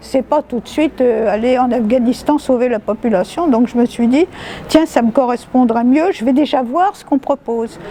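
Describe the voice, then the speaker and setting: Against noticeable background noise, a woman talks at a moderate pace in a high voice. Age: 70s. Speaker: retired documentalist, volunteer. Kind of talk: interview answer.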